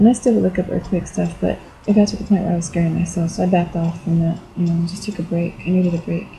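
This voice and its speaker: A woman speaks at a very fast pace with hardly any pauses, her pitch fairly low and her intonation fairly even. Noticeable background noise runs under her voice. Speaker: video blogger. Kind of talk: personal testimony vlog. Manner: halting, many fillers.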